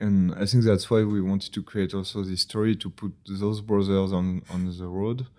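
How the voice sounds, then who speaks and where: A man with a French accent speaks at a moderate pace, his fairly low pitch and dark, mellow tone delivered in a monotone, flat intonation in a very clean recording with a silent background. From France. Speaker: video game creative director. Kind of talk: casual interview. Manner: halting, many fillers.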